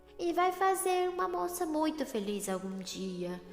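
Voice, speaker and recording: This put-on character voice swings very widely in pitch. There is a slight echo and clear background noise. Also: woman, extremely high pitch for a woman, moderate pace. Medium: read story.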